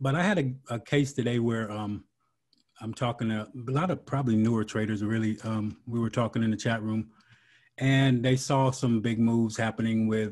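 Against a quiet background, the speech keeps a fairly even intonation at a moderate pace. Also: man. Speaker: podcast host. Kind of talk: interview. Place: home room. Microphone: video call.

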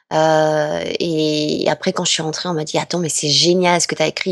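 Her voice is fairly low for a woman, with fairly even intonation. The sound is dry and close, with no echo. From southwest France. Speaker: voice actress. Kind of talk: interview. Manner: hesitant, many fillers.

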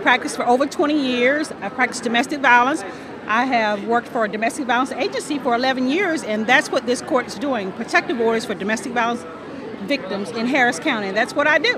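A woman's high voice at a very fast pace with ordinary pitch variation, in a dry sound with no echo and crowd noise in the background. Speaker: family law attorney, judicial candidate. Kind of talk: campaign interview answer. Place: hall. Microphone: handheld.

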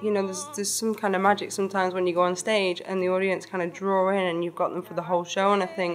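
Faint music plays behind a woman who speaks at a medium pitch with a Lancashire accent. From Blackpool, England. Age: 20s. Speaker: singer-songwriter. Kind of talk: interview answer. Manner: casual, hesitant. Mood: relaxed, reflective. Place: hall.

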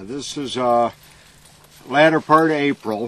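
The speaker is a man with ordinary pitch variation. The sound is dry, with no echo. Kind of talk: casual documentary chat. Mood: relaxed, joking. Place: farm machine.

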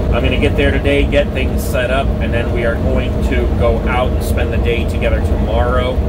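Loud background noise surrounds a man as he talks. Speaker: RV traveler vlogger. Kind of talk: casual vlog chat. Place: car.

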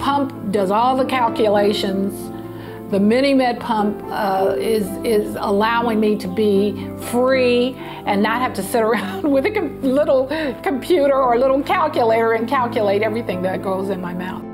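Clear music plays in the background as a woman speaks. She keeps a moderate pace with ordinary pitch variation. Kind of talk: interview answer. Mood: upbeat, laughing at times. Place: home room.

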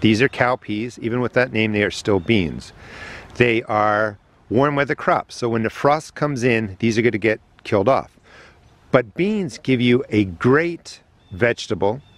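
Dry sound with no echo carries speech at a moderate pace with ordinary pitch variation. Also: man. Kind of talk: tutorial. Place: garden. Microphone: phone near.

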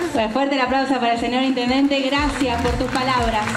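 Loud background noise fills the recording. Over it, a woman speaks at a moderate pace. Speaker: event interviewer, host. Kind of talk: live event interview. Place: hall. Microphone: handheld.

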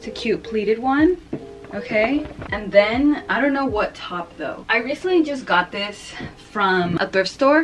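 A woman speaks over faint music in the background. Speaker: fashion vlogger. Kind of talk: casual vlog chat. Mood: relaxed, unsure. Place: home room. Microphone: camera far.

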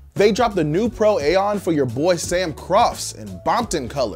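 Faint music plays in the background. The speaker keeps a moderate pace. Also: man. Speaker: news show host. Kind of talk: commentary. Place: studio.

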